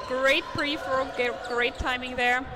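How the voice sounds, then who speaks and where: A woman with a non-native accent speaks in a high pitch. Audible room echo and noticeable background noise are present. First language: not English. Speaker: sports commentator. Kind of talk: live commentary. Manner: animated.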